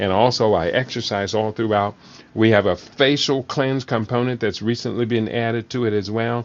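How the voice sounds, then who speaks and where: This is an ordinary speaking voice, delivered at a moderate pace with fairly even intonation. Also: man, medium pitch for a man. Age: 60s. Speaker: talk show host, health educator. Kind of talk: live solo show on nutrition. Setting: live online broadcast.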